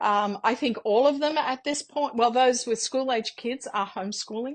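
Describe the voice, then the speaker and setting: In an Australian accent, a woman with a high pitch speaks at a moderate pace and fairly even intonation against a quiet background. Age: 60s. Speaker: mother and homeschooling parent. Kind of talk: interview. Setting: podcast interview. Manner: halting, many fillers.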